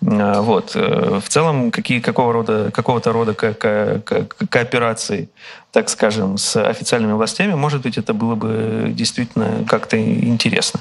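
A man with lively intonation, with noticeable background noise behind him. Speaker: media executive giving a master class. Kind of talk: lecture with audience Q&A. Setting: outdoor park event with live audience and broadcast. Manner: halting, many fillers and repetitions.

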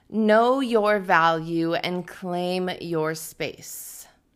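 A warm, playful tone with ordinary pitch variation comes across in a very clean recording over a silent background. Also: woman. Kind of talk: spoken word poetry, rhymed and self-written. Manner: measured, rhythmic, earnest delivery; warm and encouraging, ends with a playful laugh.

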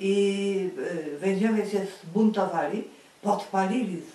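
A woman's voice carries audible room echo. Noticeable background noise is present. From Greater Poland, Lwówek. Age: 80s+. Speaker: eyewitness of wartime history. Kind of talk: oral history interview. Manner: halting.

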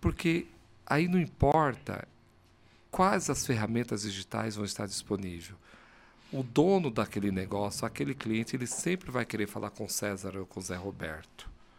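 In a very clean recording with a silent background, a man with a fairly low pitch speaks with very wide pitch swings. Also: moderate pace. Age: 50s. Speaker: agency founder and CEO. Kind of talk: casual interview. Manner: animated.

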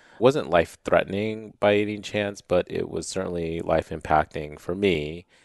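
In a normal speaking voice, a man talks at a moderate pace with hardly any pauses, fairly low pitch and ordinary pitch variation, the sound dry and close with no echo over a quiet background. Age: 40s. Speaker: entrepreneur and brand builder. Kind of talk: interview.

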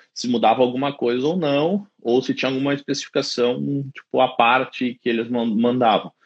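Speaking at a moderate pace, a man has a medium pitch, ordinary pitch variation and an unremarkable speaking voice. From southern Brazil (Caxias do Sul, Rio Grande do Sul). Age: 30s. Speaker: site engineer. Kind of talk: casual interview on a livestream. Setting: live video stream.

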